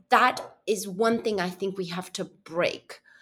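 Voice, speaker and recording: A woman is speaking. She has an Argentinian accent. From Argentina. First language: Spanish. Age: 30s. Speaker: journalist. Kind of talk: interview conversation. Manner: halting, searching for words.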